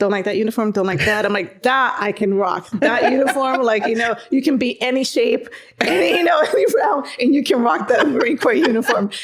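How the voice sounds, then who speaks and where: With a Spanish accent, a woman speaks fairly quickly at a high pitch, her lively intonation and animated tone coming through with hardly any pauses and very even loudness over noticeable background noise. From Dominican Republic. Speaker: Marine veteran, veterans coordinator. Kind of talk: casual chat.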